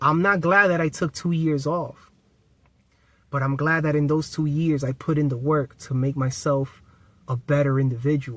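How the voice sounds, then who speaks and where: On a very clean recording with a silent background, a man with a plain, everyday voice speaks at a moderate pace and fairly high pitch with fairly even intonation. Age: 30s. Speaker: spiritual self-help YouTuber. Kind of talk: casual motivational vlog talk to camera.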